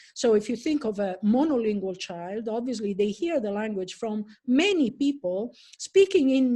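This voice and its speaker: A woman with an Italian accent, a fairly high pitch, a dark, mellow and somewhat breathy tone, lively intonation and a moderate pace over a quiet background. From Italy. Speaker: professor. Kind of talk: lecture. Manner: halting.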